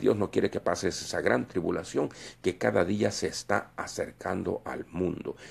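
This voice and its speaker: This man's voice sits very deep and low. Vocal fry runs through it. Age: 60s. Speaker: preacher. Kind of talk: sermon. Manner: halting.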